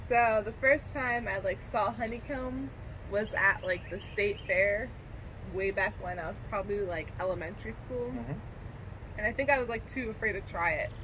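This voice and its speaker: Noticeable background noise runs under this recording. A woman speaks at a moderate pace. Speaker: vlog co-host. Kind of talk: casual vlog chat. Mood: relaxed, cheerful. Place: garden.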